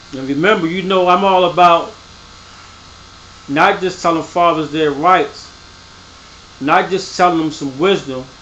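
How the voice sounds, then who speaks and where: Pausing long and often, a man speaks at a fairly slow pace in a high pitch with a bright, sharp tone and fairly even intonation, in a room with audible echo. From US, Baltimore. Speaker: parenting video host, father. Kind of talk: tutorial. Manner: casual, conversational.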